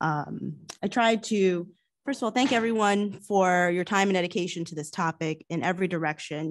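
Against a quiet background, a woman with a fairly low pitch speaks at a fairly quick pace, her pitch varying in an ordinary way. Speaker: township commissioner. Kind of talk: public meeting remarks. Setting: township meeting room, livestreamed. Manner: soft-spoken; hesitant, many fillers. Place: meeting room. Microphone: podium.

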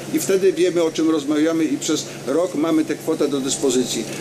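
A man's very fast speech comes through noticeable background noise. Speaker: regional councillor. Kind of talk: public debate. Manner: formal. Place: street. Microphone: handheld.

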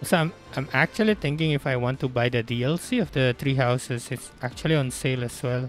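Music plays in the background as a man speaks at a moderate pace. His pitch variation is ordinary, and the sound is dry with no echo. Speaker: gamer streamer. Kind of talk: casual gameplay commentary. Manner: hesitant, some stutters and pauses. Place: home room.

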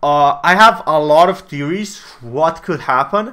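Against a quiet background, a man speaks in a bright, sharp tone with lively intonation. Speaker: gaming content creator. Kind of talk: commentary. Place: home room.

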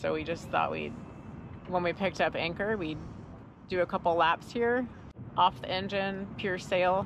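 Over noticeable background noise, a woman with vocal fry talks at a moderate pace and a fairly low pitch, her intonation fairly even and the sound dry with no echo. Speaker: sailing vlogger. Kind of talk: casual vlog chat. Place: boat. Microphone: phone near.

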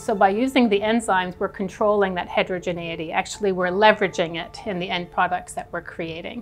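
Faint music plays in the background as a woman speaks at a very fast pace with hardly any pauses. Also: fairly even intonation. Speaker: professor researcher. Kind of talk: interview answer. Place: hall. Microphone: lapel.

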